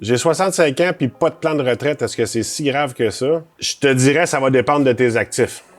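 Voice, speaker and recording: With a Quebec accent, the speaker talks with hardly any pauses while music plays in the background. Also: man, fairly high pitch for a man, ordinary pitch variation, moderate pace, big swings in loudness. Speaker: financial planner. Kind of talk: advice monologue. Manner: casual.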